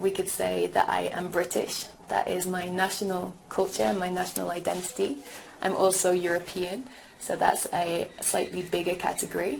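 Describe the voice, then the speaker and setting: A woman talks at a moderate pace. Audible room echo and noticeable background noise are present. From England, Birmingham. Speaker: teacher. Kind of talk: lecture.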